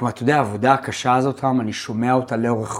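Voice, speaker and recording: A man talks at a fairly quick pace in a medium pitch. He has an unremarkable speaking voice. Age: 50s. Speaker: podcast host and accountant. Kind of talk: podcast interview.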